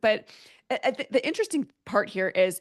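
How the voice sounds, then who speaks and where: A woman speaks in an animated tone with very wide pitch swings. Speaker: author and tech executive. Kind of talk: interview. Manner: fast.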